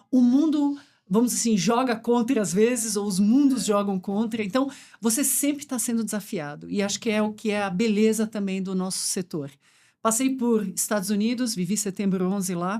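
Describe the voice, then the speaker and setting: A woman with a dark, mellow tone speaks at a fairly quick pace and medium pitch, with ordinary pitch variation, on a very clean recording with a silent background. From Brazil, German and Swiss parents. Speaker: supply chain executive. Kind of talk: podcast conversation.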